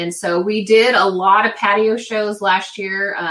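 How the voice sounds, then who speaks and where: Using an ordinary speaking voice at medium pitch, a woman talks at a fairly slow pace. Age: middle-aged. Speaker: webcam model. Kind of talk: casual interview chat.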